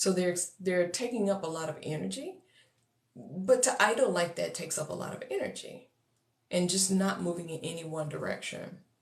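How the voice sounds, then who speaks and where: With an American accent, a woman speaks at a moderate pace and a fairly low pitch. Her pitch varies in an ordinary way, and the room echo is audible. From Texas. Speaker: coach for neurodivergent entrepreneurs. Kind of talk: livestream talk to viewers. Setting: social media livestream.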